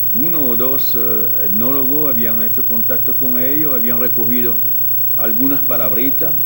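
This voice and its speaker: A man at medium pitch and a moderate pace, with fairly even intonation and noticeable background noise. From France. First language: French (speaking Spanish). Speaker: ethnologist. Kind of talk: interview. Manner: halting.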